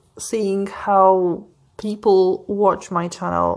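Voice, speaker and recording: With a non-native accent, a woman speaks at a medium pitch with monotone, flat intonation. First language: not English. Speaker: craft vlogger. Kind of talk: casual vlog chat. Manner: hesitant, many fillers.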